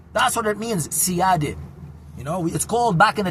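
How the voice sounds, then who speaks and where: A man with an Arabic accent races along at a very fast pace, animated in tone and lively in intonation, against noticeable background noise. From Syria, Damascus. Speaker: vlogger. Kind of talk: casual monologue. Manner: loud.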